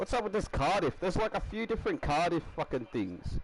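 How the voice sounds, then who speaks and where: The voice has an Australian accent. It belongs to a man. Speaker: game streamer. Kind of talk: live stream commentary. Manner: quiet; casual, rambling.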